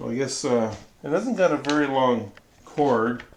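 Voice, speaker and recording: A man speaks rather slowly while background noise is clearly heard. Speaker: miniature wargaming streamer. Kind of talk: casual live stream chat. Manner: hesitant, many fillers; mumbling.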